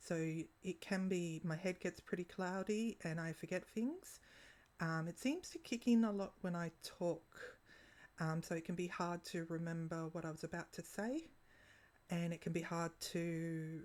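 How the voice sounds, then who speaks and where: A woman speaks with an Australian accent at a fairly low pitch. Her pitch varies in an ordinary way. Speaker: vlogger. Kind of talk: casual vlog monologue. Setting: at home. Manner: halting, with long pauses.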